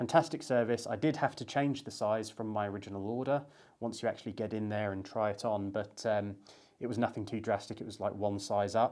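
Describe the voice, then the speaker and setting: Over a quiet background, a man speaks at a fairly quick pace with a fairly low pitch and ordinary pitch variation. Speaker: menswear vlogger. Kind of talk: casual vlog chat. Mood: upbeat, enthusiastic.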